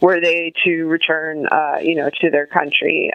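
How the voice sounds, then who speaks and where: Amid noticeable background noise, a woman with an American accent and fairly low pitch speaks at a moderate pace with fairly even intonation. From Connecticut, US. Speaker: writer and journalist. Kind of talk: interview.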